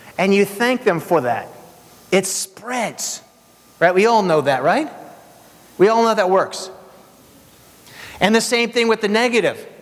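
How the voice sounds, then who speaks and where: A man's high, energetic voice at a fairly slow pace, with ordinary pitch variation, long and frequent pauses, and noticeable background noise. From Hungary. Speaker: keynote speaker. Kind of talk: motivational keynote speech. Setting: stage with audience.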